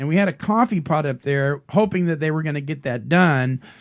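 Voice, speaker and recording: Using a normal speaking voice, a man pitched fairly high talks with ordinary pitch variation. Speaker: recovery radio show co-host.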